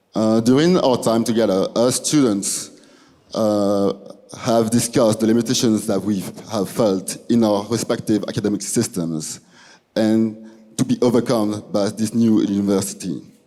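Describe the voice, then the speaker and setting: In a very clean recording with a silent background, a man speaks at medium pitch and a moderate pace, with a dark, mellow tone, very even loudness, and ordinary pitch variation. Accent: French. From Belgium. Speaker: student. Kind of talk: presentation. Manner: halting.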